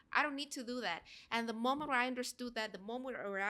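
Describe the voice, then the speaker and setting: A woman's fairly high voice with a bright, sharp tone and ordinary pitch variation. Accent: Spanish. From Guatemala. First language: Spanish. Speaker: actress and singer. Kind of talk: casual chat. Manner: halting, searching for words.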